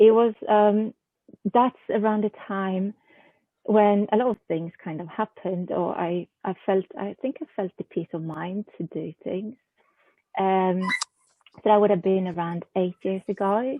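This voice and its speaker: A woman with a Swedish accent speaks at a fairly slow pace, her pitch varying in an ordinary way. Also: medium pitch for a woman. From southern Sweden. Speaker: haiku poet and journal editor. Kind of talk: interview. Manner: hesitant, many fillers.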